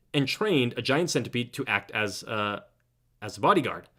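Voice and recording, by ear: Against a quiet background, the speaker is reading aloud in a natural voice, with lively intonation.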